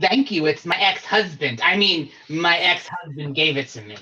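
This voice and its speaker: A man performs a put-on character voice, pitched high and delivered at a moderate pace. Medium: actual play. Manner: brassy, warm and showy.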